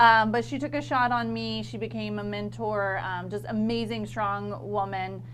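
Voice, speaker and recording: Audible echo fills the room around a woman. She talks with an American accent at a moderate pace. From northern Florida, Lafayette County. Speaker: marketing consultant. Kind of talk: casual interview chat.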